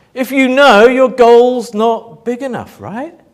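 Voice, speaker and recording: A man speaks at a very slow pace. His pitch sits high. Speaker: motivational speaker. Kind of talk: talk to live audience. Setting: stage with audience. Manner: loud; animated.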